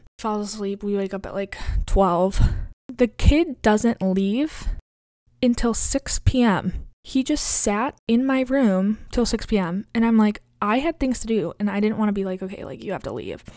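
A woman's fairly high voice with a dark, mellow tone at a moderate pace, in a very clean recording with a silent background. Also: ordinary pitch variation. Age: 20s. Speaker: podcast host. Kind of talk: casual monologue. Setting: home bedroom. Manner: casual, filler-heavy.

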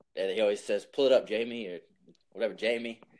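In a Southern US accent, a man is talking. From US South, New Orleans. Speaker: music artist manager. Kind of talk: casual chat.

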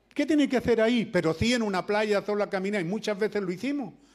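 A man speaks with a Chilean accent in a very clean recording with a silent background. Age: 70s. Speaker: preacher. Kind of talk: sermon. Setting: church.

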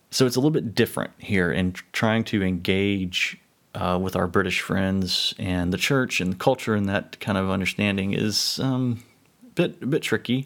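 A man with a fairly low voice and an American accent, ordinary pitch variation, at a moderate pace. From United States. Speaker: podcast host. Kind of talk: solo podcast monologue. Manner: hesitant, many fillers and restarts.

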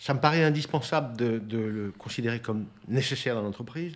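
A man's medium-pitched voice with ordinary pitch variation, in a very clean recording over a silent background. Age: 60s. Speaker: company executive and church elder. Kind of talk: casual interview.

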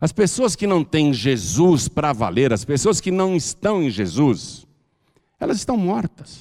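Fairly slow, animated delivery from a man, fairly high in pitch with very wide pitch swings. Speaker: pastor. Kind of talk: sermon.

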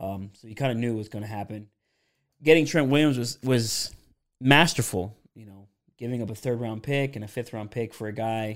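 A man with an American accent, medium pitch and ordinary pitch variation at a moderate pace, on a very clean recording with a silent background. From Pennsylvania. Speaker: podcast host, football fan analyst. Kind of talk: casual interview chat.

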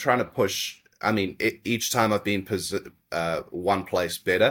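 Speaking with a New Zealand accent, a man uses ordinary pitch variation. The recording is very clean, with a silent background. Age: 30s. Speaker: jiu-jitsu athlete and coach. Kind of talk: podcast interview.

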